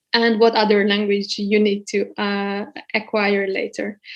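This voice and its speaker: A woman speaks in a Hungarian accent at a fairly slow pace. Her pitch is fairly high. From Hungary. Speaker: guest lecturer. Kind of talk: lecture. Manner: hesitant, many fillers.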